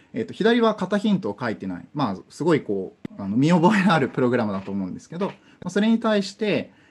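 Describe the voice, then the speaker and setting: Vocal fry runs through a man's fairly quick speech, which makes very wide pitch swings. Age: 20s. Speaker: conference speaker on programming; conference speaker. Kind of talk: technical talk. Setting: online conference via Zoom. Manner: hesitant, many fillers.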